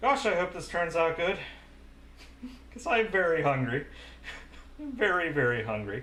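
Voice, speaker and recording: In a room with audible echo, a high-pitched man talks at a moderate pace, taking long, frequent pauses while his pitch swings very widely. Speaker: VTuber cooking streamer. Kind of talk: live stream cooking chat. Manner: casual, self-narrating.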